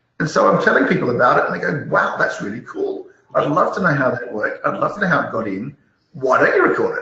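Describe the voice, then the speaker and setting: The man's pace is very fast. He talks in an Australian accent. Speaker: malware analyst and YouTuber. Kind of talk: interview. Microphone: poor audio.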